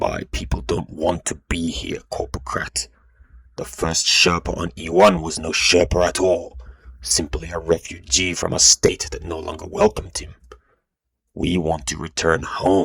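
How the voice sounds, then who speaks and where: Putting on a character voice, a man speaks at a moderate pace with a very deep, low pitch. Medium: read story. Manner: controlled, proud.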